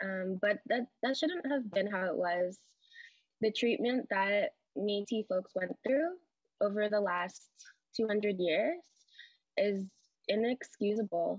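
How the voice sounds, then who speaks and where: A woman with a western Canadian accent speaks at a very slow pace with long, frequent pauses and lively intonation, in a dry sound with no echo over a quiet background. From Edmonton, Alberta; Alberta. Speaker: panelist. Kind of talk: personal talk. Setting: video call. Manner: casual, laughs often. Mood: earnest, reflective. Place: home room. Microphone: video call.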